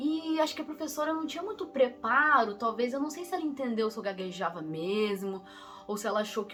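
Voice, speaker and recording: Over music in the background, a woman speaks at a fairly quick pace in a fairly high voice with very wide pitch swings. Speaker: vlogger. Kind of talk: personal storytelling. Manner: casual, halting.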